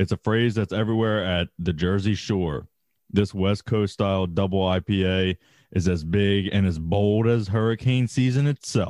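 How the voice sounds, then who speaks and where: A fairly low male voice at a moderate pace, with ordinary pitch variation and very even loudness. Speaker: podcast co-host. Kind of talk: casual banter, storytelling with profanity. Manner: animated, profane, joking.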